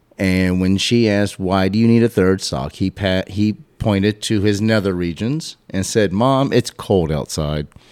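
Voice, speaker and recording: At a moderate pace with hardly any pauses and ordinary pitch variation, this is an unremarkable speaking voice on a very clean recording with a silent background. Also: man, fairly low pitch for a man. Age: 40s. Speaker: podcast host guest. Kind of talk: casual chat.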